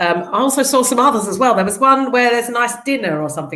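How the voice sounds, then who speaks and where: A woman with a South London accent, medium in pitch, with very wide pitch swings. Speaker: charity executive. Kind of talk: casual chat.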